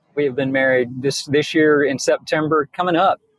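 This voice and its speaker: With a Southern US accent, a man speaks at a moderate pace in a dry, close sound with no echo. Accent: Southern US (Georgia). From US South, rural south Georgia. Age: 60s. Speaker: financial planner. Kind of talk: casual interview chat. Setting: in a car. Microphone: connection cutting out.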